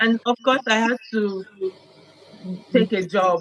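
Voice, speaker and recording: A woman speaks at a fairly slow pace with ordinary pitch variation. The sound is dry and close with no echo, over noticeable background noise. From Nigeria. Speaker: immigrant sharing experiences. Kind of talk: interview conversation.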